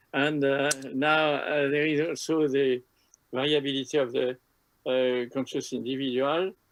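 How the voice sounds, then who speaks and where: Keeping his loudness very even, a man with a fairly high voice talks at a fairly slow pace in a monotone, flat intonation. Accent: strong French. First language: French. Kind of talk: lecture. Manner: halting, many filler sounds.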